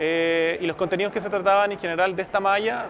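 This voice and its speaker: A man with a Chilean accent is heard over noticeable background noise. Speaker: journalist, social media manager; journalist. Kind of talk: interview testimonial. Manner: hesitant, many fillers. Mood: relaxed, positive. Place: hall.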